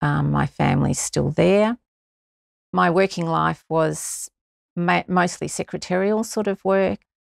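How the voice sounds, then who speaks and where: A woman with an Australian accent talks at a fairly slow pace and very even loudness. The recording is very clean and dry, close with no echo, and the background is silent. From Victoria, Australia. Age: 60s. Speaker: amateur runner. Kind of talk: interview.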